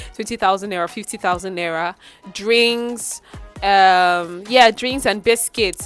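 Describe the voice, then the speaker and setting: Over music in the background, the speech comes at a fairly slow pace with big swings in loudness. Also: woman, medium pitch for a woman, ordinary pitch variation. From Nigeria. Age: 20s. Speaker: voiceover artist. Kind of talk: casual storytime to camera.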